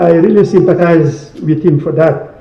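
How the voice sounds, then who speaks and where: Noticeable background noise and audible room echo surround the recording. The man's voice sits high in pitch. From Gambia. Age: 70s. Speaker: book launch speaker. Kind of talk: speech. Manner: halting.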